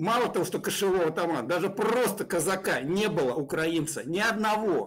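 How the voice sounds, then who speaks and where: Over a quiet background, a man talks at a moderate pace and high pitch, with very even loudness and ordinary pitch variation. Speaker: pro-Russian blogger. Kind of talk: heated debate. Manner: mocking, aggressive. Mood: hostile, taunting. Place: home room.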